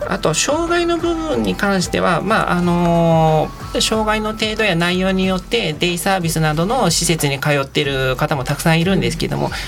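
Over music in the background and audible room echo, a man with a fairly high pitch speaks at a moderate pace with very wide pitch swings. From Tokyo, Japan. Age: 40s. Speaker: taxi driver. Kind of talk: radio interview. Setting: studio. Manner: measured, filler-heavy.

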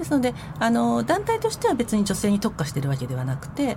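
A woman talks at a very fast pace with very wide pitch swings, and there is noticeable background noise. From Tokyo, Nerima ward. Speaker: head of a support group, former social recluse. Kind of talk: radio interview.

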